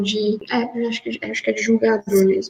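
A woman talks at a moderate pace with a fairly high pitch. Noticeable background noise is present. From Minas Gerais, Brazil. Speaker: master's researcher. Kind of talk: academic interview. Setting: remote call from home. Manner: halting, many fillers. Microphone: audio glitches on connection.

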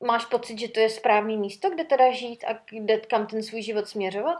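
An ordinary speaking voice from a woman, fairly high in pitch with ordinary pitch variation. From Czechia, Sokolov. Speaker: podcast host, former flight attendant. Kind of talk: casual chat.

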